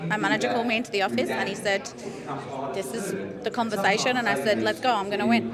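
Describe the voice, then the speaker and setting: In a room with audible echo and noticeable background noise, a woman with a fairly high pitch talks at a very fast pace. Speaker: professional boxer. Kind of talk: interview. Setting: press event.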